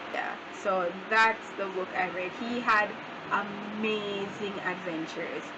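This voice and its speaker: Noticeable background noise sits behind a woman speaking at a very slow pace. Her medium-pitched voice stays monotone, with flat intonation. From Jamaica. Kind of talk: casual talk to camera.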